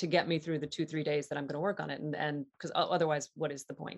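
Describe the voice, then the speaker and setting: A woman speaks with an American accent at a very deep, low pitch. The background is quiet. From Southeast Ohio. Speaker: actor. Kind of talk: casual interview chat.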